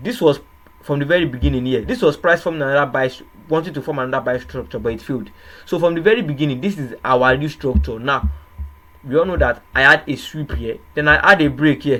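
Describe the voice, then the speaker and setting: A man's fairly high-pitched voice, bright and sharp in tone, at a very fast pace. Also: ordinary pitch variation. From Nigeria. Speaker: trading educator. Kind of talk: tutorial. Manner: hesitant, repetitive.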